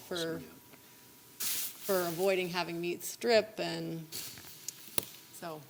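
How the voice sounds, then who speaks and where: A soft-spoken woman at a fairly low pitch and a very slow pace. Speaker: city councilor. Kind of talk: council discussion.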